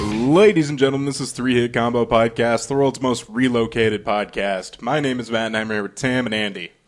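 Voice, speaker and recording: In a normal speaking voice, a man talks at a fairly quick pace with hardly any pauses, his medium pitch held in fairly even intonation. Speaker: podcast host. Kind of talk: casual chat. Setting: new home studio room. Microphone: echoey room sound.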